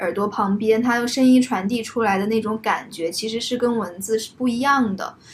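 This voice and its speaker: With an unremarkable speaking voice, a woman speaks at a moderate pace and with fairly even intonation. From Zhuhai, southern China. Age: late 20s. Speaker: podcast co-host. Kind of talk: casual chat. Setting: living room at home.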